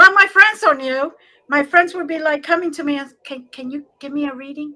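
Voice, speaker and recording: A high-pitched woman with an American accent uses a raised, projected voice with a bright, sharp tone. She talks at a fairly quick pace with ordinary pitch variation and big swings in loudness. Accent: slight accent, Cuban when tired. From US Northeast, Newark, New Jersey, Cuban family. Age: 60s. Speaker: psychic medium and spiritual teacher. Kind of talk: interview.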